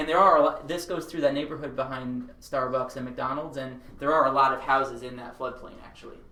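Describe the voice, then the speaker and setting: A man with an American accent at a fairly high pitch and fairly quick pace, amid audible room echo and noticeable background noise. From Long Island, New York. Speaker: architect. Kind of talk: seminar presentation. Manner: fast.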